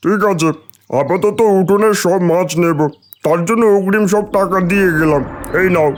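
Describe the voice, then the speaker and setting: A man does a cartoonish character voice with a high pitch at a moderate pace. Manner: blunt, demanding.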